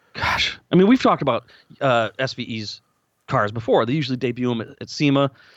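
A man with an American accent speaks in an ordinary speaking voice at a medium pitch. His pace is fairly quick and his pitch variation ordinary. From US Midwest, Lansing, Michigan. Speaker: podcast co-host, car enthusiast. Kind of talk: casual chat.

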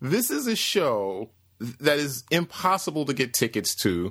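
A man's fairly high voice with vocal fry, fairly slow and swinging very widely in pitch, on a very clean recording with a silent background. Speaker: podcast host. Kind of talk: casual podcast chat. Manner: rambling, animated.

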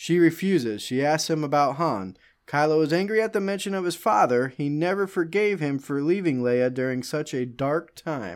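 An ordinary speaking voice from a man, fairly high in pitch, with lively intonation, a moderate pace and a very clean recording against a silent background. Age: 30s. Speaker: podcast host. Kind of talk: casual podcast chat.

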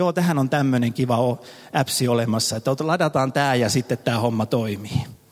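A man speaks in a plain, everyday voice at a medium pitch and a moderate pace. His loudness stays very even, with ordinary pitch variation. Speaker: pastor. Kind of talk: sermon. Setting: church service with audience.

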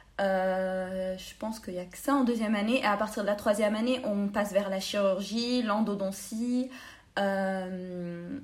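A woman with a medium pitch and fairly even intonation is heard with audible room echo. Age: 20s. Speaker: dental student. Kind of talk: interview.

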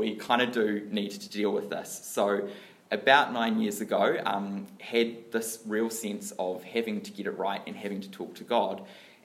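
Speaking with a New Zealand accent, a man talks at a fairly slow pace with ordinary pitch variation in audible room echo. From New Zealand, Dunedin. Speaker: lay church speaker. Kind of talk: sermon-style talk.

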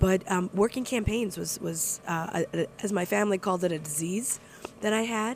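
A woman talks at medium pitch in an unremarkable speaking voice. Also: ordinary pitch variation, moderate pace. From moved around US (New York, Milwaukee, Texas). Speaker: state legislator. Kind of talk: casual interview. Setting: cafe.

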